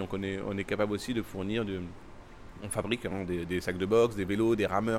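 A man rattles along at a very fast pace. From Paris, France (came from Timbuktu, Mali at 10). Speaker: Muay Thai champion and gym founder. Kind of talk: interview. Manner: halting, with frequent repetitions.

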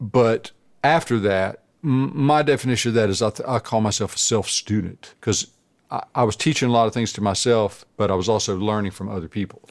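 In a plain, everyday voice with an American accent, a man speaks at a fairly quick pace, his fairly low pitch showing ordinary variation, on a very clean recording with a silent background. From US South, coastal North Carolina. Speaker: guitarist. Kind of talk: casual chat.

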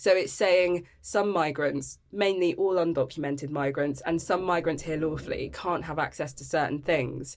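A woman talks in a very deep, low voice with vocal fry. Her pitch varies in an ordinary way. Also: moderate pace, hardly any pauses. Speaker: human rights campaigner. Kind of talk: interview.

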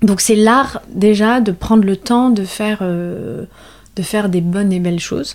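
A woman with ordinary pitch variation. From western France, La Rochelle. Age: 30s. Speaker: artisanal fish smoker, business co-founder. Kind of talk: interview testimony. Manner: hesitant with many fillers.

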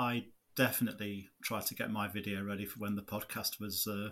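With an East Midlands accent, a man talks in a bright, sharp tone at a fairly low pitch, his intonation monotone and flat. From Nottinghamshire, England. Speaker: podcast co-host, gardener and YouTube maker. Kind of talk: casual chat.

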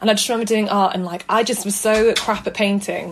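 Very fast, medium-pitched speech from a woman, with fairly even intonation and noticeable background noise. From northern England, South Manchester. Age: 20s. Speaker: photographer. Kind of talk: casual interview.

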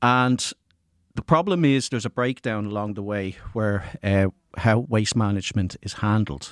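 In an Irish accent, the voice moves at a moderate pace with ordinary pitch variation, in a dry, close sound with no echo. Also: man, fairly low pitch for a man. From rural Ireland. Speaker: college student. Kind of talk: student podcast discussion. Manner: hesitant, frequent uh.

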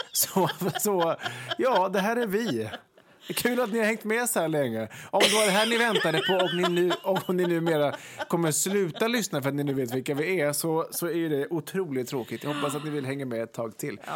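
Over noticeable background noise, a man with a high pitch talks at a moderate pace, his pitch swinging very widely. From Västergötland, Sweden (Ulricehamn area). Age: 30s. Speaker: podcast co-host. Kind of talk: casual chat.

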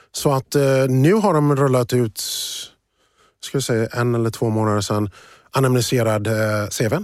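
With an English accent, a man talks at a moderate pace and medium pitch, leaving long, frequent pauses, with ordinary pitch variation, very even loudness, and a very clean recording over a silent background. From USA, moved to Sweden at 12. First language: English (speaking Swedish). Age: 40s. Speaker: finance professional and diversity advocate. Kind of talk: interview conversation.

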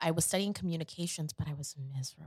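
In a normal speaking voice, a woman speaks at a fairly quick pace and fairly low pitch with ordinary pitch variation, the sound dry and close with no echo. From Queens, New York and Atlanta. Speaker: professional dancer and actress. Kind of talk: casual interview chat.

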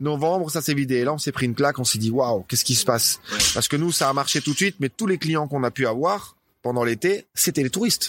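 A man with a fairly high pitch talks at a very fast pace with very even loudness and ordinary pitch variation. The sound is dry and close with no echo. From northern France, Dunkerque. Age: 40s. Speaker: CrossFit gym owner. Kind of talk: casual interview.

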